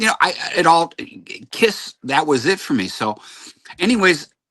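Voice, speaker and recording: A man with a Midwestern American accent talks in a bright, sharp tone with lively intonation. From Detroit, Michigan. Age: 60s. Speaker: music podcaster. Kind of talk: casual chat.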